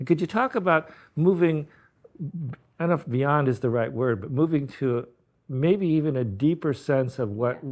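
A man talks at a moderate pace with lively intonation, leaving long, frequent pauses. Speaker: interviewer, book editor and educator. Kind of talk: interview conversation.

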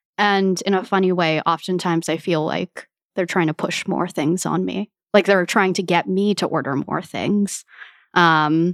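The speaker has a normal speaking voice and a General American accent, with fairly even intonation at a moderate pace. The recording is very clean, with a silent background and a dry, close sound with no echo. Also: woman. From United States, Filipino heritage. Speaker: food media guest. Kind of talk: casual chat.

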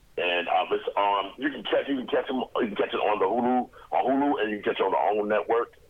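Background noise is noticeable. The speech moves at a very fast pace. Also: man. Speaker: actor. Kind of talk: radio interview.

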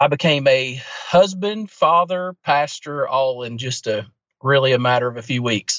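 With an unremarkable speaking voice, a man talks at a moderate pace in a fairly high voice with ordinary pitch variation. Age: 20s. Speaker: pastor. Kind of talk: casual interview.

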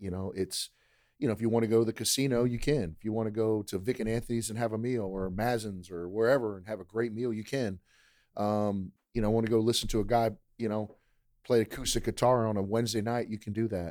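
A man speaks very fast with an American accent, his pitch medium and his intonation fairly even. The recording is very clean, with a silent background. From Maryland, US. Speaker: university athletics director. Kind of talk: podcast interview.

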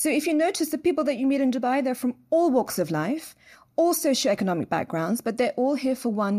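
A woman with a London accent speaks in a high pitch, her pitch swinging very widely. Her tone is dark and mellow, and the recording is very clean with a silent background. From London, England. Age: 30s. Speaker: biotech entrepreneur. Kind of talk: interview.

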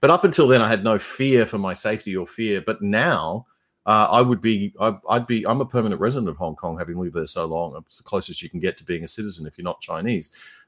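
Speaking very fast with hardly any pauses, a man with an Australian accent uses lively intonation, big swings in loudness and a fairly low pitch. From Brisbane, Australia. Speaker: radio journalist and podcaster. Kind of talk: casual interview.

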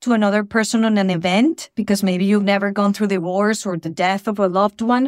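A woman speaks in a Spanish accent at a moderate pace and medium pitch, with fairly even intonation. The recording is very clean with a silent background. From Venezuela. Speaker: mental health counselor. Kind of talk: casual chat.

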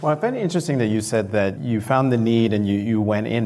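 A man with a plain, everyday voice. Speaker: podcast host and journalist. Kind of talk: live interview. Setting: stage with audience.

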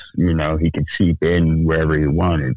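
With vocal fry, a man talks at a moderate pace. His pitch is very deep and low. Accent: American. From Sacramento, California. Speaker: podcast co-host. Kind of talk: casual chat.

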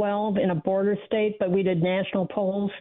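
Using an ordinary speaking voice, a woman talks at a moderate pace and medium pitch. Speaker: caller. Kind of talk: radio call-in. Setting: phone call.

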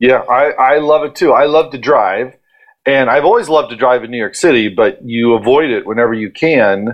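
An ordinary speaking voice from a man with an American accent, medium pitch, ordinary pitch variation and a moderate pace. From Ohio, US Midwest. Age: middle-aged. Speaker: event company partner. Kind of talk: casual interview.

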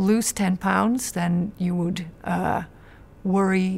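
Somewhat breathy, a woman speaks at a fairly low pitch in a monotone, flat intonation. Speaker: decision researcher. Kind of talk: interview answer. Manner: halting.

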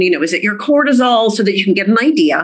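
Here is an unremarkable speaking voice from a woman. She is fairly high-pitched, with lively intonation. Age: 50s. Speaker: medical doctor. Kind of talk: interview.

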